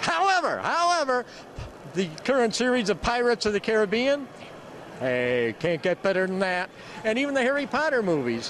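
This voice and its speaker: Against noticeable background noise, a man talks at a fairly quick pace with very wide pitch swings. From USA. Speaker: TV horror host. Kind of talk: interview answer. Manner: dour, low-key.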